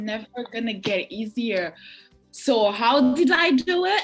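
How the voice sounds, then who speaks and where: Music plays behind a woman with a high pitch. Her pitch swings very widely. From Burundi. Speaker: writer, poet, mental health advocate. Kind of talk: interview answer.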